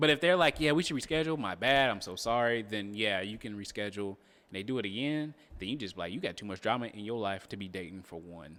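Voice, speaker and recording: In a very clean recording with a silent background, a man talks very fast at a fairly low pitch, his tone bright and sharp, with lively intonation and big swings in loudness. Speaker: channel host's fiance. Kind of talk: casual chat.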